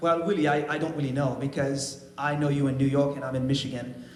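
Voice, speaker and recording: Through audible room echo, a man with a fairly high pitch talks at a fairly quick pace. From Haiti. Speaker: trumpet player. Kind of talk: testimony. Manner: halting.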